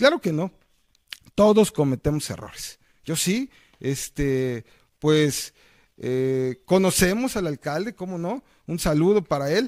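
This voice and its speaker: At a very slow pace, a man speaks with very wide pitch swings and long, frequent pauses. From Mexico, Veracruz. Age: 40s. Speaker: mayoral candidate and lawyer. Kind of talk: campaign interview. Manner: hesitant, many fillers.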